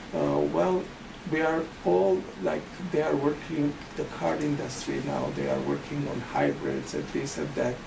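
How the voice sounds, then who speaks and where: A non-native accent comes through amid noticeable background noise. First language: not English. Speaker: family physician. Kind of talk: interview. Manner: halting.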